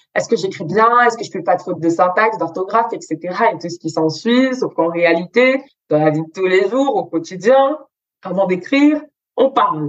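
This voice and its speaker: Here is a woman with an ordinary speaking voice and a medium pitch. She talks at a fairly slow pace with lively intonation. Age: 20s. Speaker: student entrepreneur and image consultant. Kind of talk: interview.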